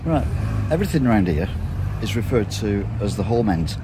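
The speaker talks at a fairly quick pace. Noticeable background noise is present. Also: man. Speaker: walking tour vlogger. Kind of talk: casual vlog chat. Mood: wry, joking. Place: street. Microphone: phone near.

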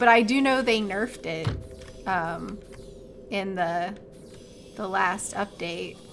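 Over faint background music, a woman speaks very slowly with long, frequent pauses and ordinary pitch variation. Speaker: gaming streamer. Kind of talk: live gameplay commentary. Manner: casual, chatty.

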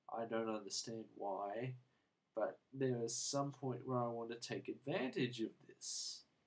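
Speaking with an Australian accent, a man keeps a relaxed tone at a fairly slow pace. His pitch is medium, with ordinary pitch variation. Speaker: book and movie reviewer. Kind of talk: casual video review. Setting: home video to camera. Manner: mellow, relaxed.

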